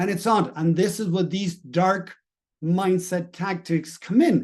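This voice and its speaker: This man speaks in a Spanish accent at a moderate pace, his voice pitched high. His intonation stays fairly even. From Latin America. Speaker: mindset and business coach. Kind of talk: motivational talk.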